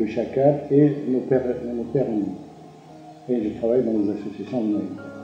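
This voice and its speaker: Music plays in the background as a man speaks at a medium pitch and moderate pace. His pitch varies in an ordinary way, and audible room echo is present. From Algeria. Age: 70s. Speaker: retired cultural center director, writer. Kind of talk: interview testimony. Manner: halting, frequent repetitions and hesitations.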